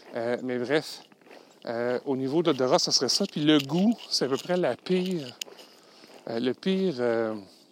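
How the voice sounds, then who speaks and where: Amid noticeable background noise, a man speaks slowly with lively intonation, leaving long, frequent pauses. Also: medium pitch for a man. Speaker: podcast host, LinkedIn consultant. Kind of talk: solo podcast monologue. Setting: outdoors, walking in snow. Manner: hesitant, many fillers.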